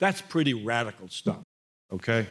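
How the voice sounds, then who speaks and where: This man has an American accent. Lively intonation marks his speech. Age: 70s. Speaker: former state legislator. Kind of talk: commemorative speech.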